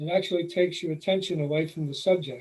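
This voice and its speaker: Somewhat breathy speech in a New York accent, with fairly even intonation. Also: man. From New York City. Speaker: nature photographer, presenter. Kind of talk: presentation. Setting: video call.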